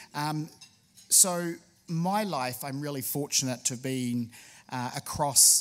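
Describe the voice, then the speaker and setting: A man with a New Zealand accent, fairly high in pitch with ordinary pitch variation, at a fairly slow pace on a very clean recording with a silent background. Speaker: state tourism official. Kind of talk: public speech. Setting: luncheon with audience. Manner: frequent filler hesitations.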